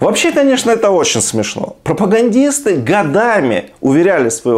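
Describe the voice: The voice has big pitch swings and a slightly mellow tone. Its pace is moderate. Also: man.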